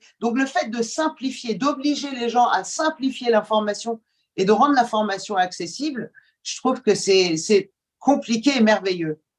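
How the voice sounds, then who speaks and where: A woman speaks at a fairly slow pace. Her fairly high voice has lively intonation. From Iran, moved to France at age ten. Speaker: journalist and TV presenter. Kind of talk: podcast interview. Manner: hesitant, many fillers.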